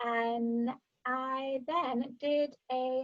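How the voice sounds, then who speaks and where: A woman speaks in a Yorkshire accent at a high pitch. Her intonation stays fairly even. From northern England, Sheffield, South Yorkshire. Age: 20s. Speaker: vocal mindset coach and musical theatre singer. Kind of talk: podcast interview.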